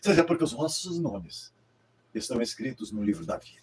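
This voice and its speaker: A man talks at a moderate pace with lively intonation. His voice has vocal fry. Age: 80s+. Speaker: pastor. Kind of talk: sermon. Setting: livestream.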